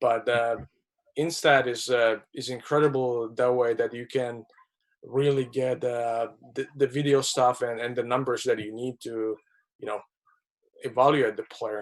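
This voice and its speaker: With a non-native accent, a man speaks fairly slowly at a medium pitch, his intonation monotone and flat, broken by long, frequent pauses. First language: not English. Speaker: hockey scout. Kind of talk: webinar interview. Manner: halting, many repetitions.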